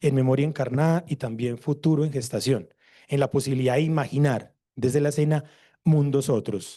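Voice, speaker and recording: A man speaks at a moderate pace in a dark, mellow, somewhat breathy tone. The background is quiet. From Colombia. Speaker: theatre researcher. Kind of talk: conference presentation.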